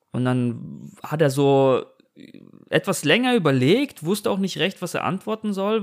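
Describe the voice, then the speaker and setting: Here is a man with an ordinary speaking voice. He talks at a fairly high pitch with lively intonation. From Germany. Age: 30s. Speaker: podcast host. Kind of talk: casual chat. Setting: remote recording.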